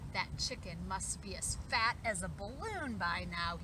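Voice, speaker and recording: A woman uses a put-on character voice at a moderate pace. Loud background noise runs behind her. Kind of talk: bedtime story. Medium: read story.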